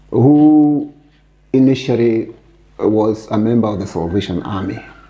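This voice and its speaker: At a very slow pace, a man with a somewhat breathy, medium-pitched voice speaks with ordinary pitch variation. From Kenya, Kiambu (Gatundu). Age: 70s. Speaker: Mau Mau survivor and retired business executive. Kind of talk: interview.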